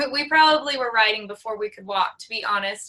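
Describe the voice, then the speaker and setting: A woman with an American accent speaks at a fairly high pitch in a bright, sharp tone. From US Midwest, South Dakota. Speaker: rodeo queen. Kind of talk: interview.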